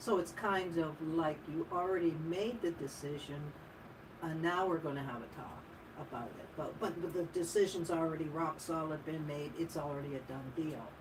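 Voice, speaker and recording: Amid audible room echo and noticeable background noise, a woman with a fairly low pitch and ordinary pitch variation speaks at a moderate pace, her loudness swinging widely. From Ottawa, Canada. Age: 60s. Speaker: radio co-host. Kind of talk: casual chat. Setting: radio studio.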